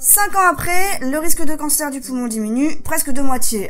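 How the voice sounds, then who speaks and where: A woman at a moderate pace, amid noticeable background noise. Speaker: vlogger. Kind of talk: vlog; reading aloud.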